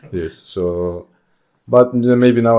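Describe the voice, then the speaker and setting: A man speaks with a Russian accent in a dark, mellow tone. His pitch varies in an ordinary way. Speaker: judo athlete. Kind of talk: casual chat.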